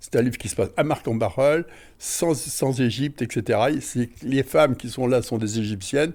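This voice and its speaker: In a very clean recording with a silent background, a man speaks at a medium pitch with lively intonation. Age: 80s+. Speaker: retired amateur author and painter. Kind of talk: interview. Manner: hesitant, with fillers.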